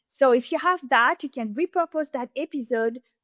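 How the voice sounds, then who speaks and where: A high-pitched woman speaks with a French accent at a moderate pace. Her intonation is lively. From France. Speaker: podcast consultant. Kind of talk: interview.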